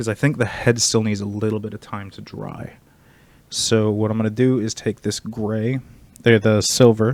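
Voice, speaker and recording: Speaking quietly at a moderate pace, a man with a fairly low voice keeps a monotone, flat intonation while his loudness swings widely, in a very clean recording with a silent background. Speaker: streamer painting miniatures. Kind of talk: casual livestream tutorial.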